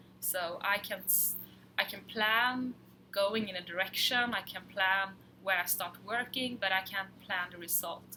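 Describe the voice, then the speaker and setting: In a Swedish accent, a woman speaks at a fairly slow pace and a medium pitch. Her tone is bright and sharp, and her intonation fairly even. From Sweden. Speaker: fabric designer. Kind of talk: casual chat.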